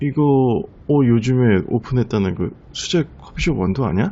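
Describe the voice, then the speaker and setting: A man speaks with lively intonation. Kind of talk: roleplay ASMR, talking to a girlfriend. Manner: soft, intimate, affectionate.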